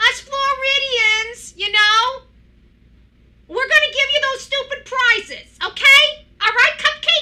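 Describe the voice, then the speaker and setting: Putting on a character voice in a New York accent, a woman projects loudly at an extremely high pitch and a fairly slow pace. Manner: mocking, condescending.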